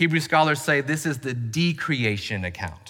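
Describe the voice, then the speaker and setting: A man's bright, sharp, fairly high voice in a Southern US accent, at a moderate pace with lively intonation and audible room echo. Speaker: pastor. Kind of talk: sermon.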